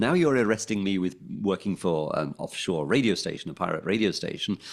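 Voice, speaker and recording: A man talks at a fairly quick pace in a London accent. The recording is very clean, with a silent background. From London, England. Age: 60s. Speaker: former pirate radio DJ. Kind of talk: interview. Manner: hesitant, many ums and restarts.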